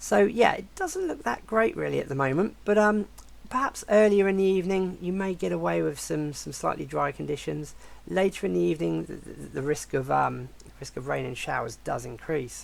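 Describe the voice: A croaky voice with vocal fry. It moves at a moderate pace with lively intonation.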